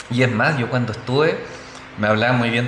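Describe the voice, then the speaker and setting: A man talks in a Chilean accent at a moderate pace, his voice medium in pitch. Noticeable background noise and audible room echo are present. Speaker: football podcast guest. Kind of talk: casual chat.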